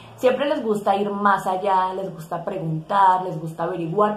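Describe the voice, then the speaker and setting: A woman talks at a moderate pace with audible room echo. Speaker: tarot content creator. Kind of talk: casual vlog chat. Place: home room. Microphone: phone near.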